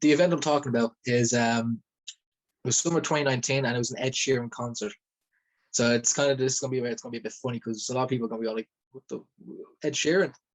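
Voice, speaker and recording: A man with a Dublin accent at medium pitch, talking at a very fast pace, with long, frequent pauses. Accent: Dublin Irish. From Ireland, Dublin. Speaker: rapper and former event security worker. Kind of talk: testimony. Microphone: phone mic.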